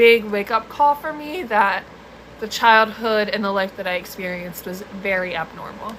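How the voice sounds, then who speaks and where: A woman speaks at a fairly slow pace with an American accent and a fairly high pitch. Noticeable background noise is present. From US East Coast. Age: 20s. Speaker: mental health content creator, trauma survivor. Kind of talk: live stream chat. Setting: live stream. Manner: casual, filler-heavy.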